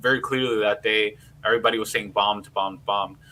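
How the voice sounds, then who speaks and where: With a New York accent, a man of medium pitch talks at a very fast pace with fairly even intonation. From New York City, Queens. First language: Spanish. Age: 30s. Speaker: political podcast host. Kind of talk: casual livestream discussion. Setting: live stream.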